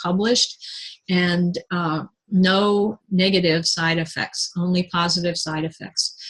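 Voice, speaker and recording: A woman talks at a fairly slow pace in a fairly low pitch. Her voice is somewhat breathy, with fairly even intonation. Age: 60s. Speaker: independent sales consultant and nutritionist. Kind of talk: product presentation. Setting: live online video presentation with screen share. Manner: halting, many fillers.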